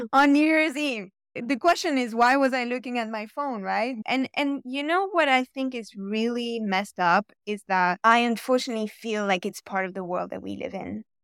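A woman with an ordinary speaking voice talks at a moderate pace, her fairly high pitch carrying lively intonation. The recording is very clean with a silent background, and the sound is dry and close with no echo. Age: 30s. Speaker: newsletter writer and content creator. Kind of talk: casual interview chat.

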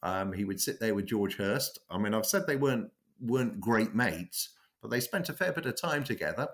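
Speaking with a southern English accent, a man uses lively intonation at a medium pitch. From London, England. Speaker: cricket biographer. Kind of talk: interview. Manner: halting, many fillers.

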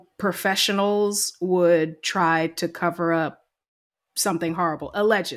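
A woman speaks at a very slow pace. Her pitch is fairly low and her intonation monotone and flat. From US South, Georgia. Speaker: podcast co-host. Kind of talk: casual chat.

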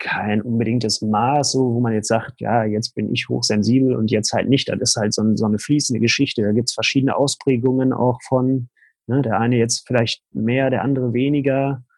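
Fairly even intonation runs through a man's moderately paced speech. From Ruhr area, Germany. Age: 30s. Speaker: coach. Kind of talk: interview. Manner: halting.

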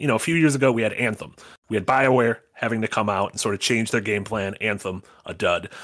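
In a very clean recording with a silent background, a man speaks at a moderate pace in an unremarkable speaking voice. His pitch is medium, with ordinary pitch variation. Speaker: podcast co-host. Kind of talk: casual chat.

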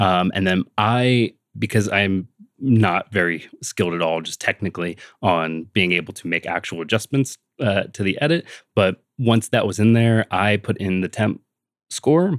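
A man's fairly low voice, an ordinary speaking voice, at a moderate pace with ordinary pitch variation, in a dry, close sound with no echo and a very clean recording over a silent background. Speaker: filmmaker. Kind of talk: casual chat.

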